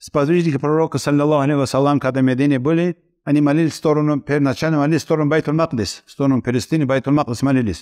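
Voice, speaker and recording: With a quiet background, a man speaks very fast and with fairly even intonation. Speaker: Islamic lecturer. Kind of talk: religious lecture. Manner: halting. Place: studio. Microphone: headset.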